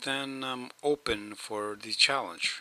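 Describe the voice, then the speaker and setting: In an Eastern European accent, a man talks at a very slow pace with fairly even intonation. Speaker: video blogger. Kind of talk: rant. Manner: slurs words at times; hesitant, many fillers.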